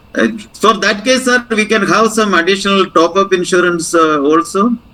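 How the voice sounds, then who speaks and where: A man's high, raised, projected voice at a moderate pace, very even in loudness with ordinary pitch variation, over noticeable background noise. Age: 60s. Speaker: retiree, alumni group member. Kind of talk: vote of thanks and Q&A. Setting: video call. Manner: halting, many fillers.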